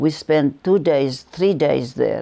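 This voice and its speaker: A woman speaks at a fairly slow pace with a Lebanese accent, her pitch very deep and low, with vocal fry in a dark, mellow tone. Her intonation stays fairly even, and the recording is very clean with a silent background. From Lebanon. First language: Arabic. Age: 80s+. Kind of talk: interview answer.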